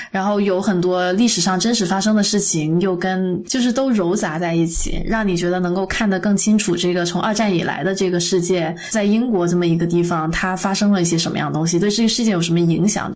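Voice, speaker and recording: Speaking fairly quickly with hardly any pauses, a woman holds a medium pitch and fairly even intonation. Her loudness stays very even against noticeable background noise. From Guangdong, China. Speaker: podcast co-host. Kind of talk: casual chat.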